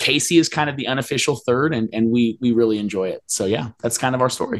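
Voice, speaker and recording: Talking at a fairly quick pace, a man has an unremarkable speaking voice at a medium pitch with ordinary pitch variation. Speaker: hobby channel creator, wargamer.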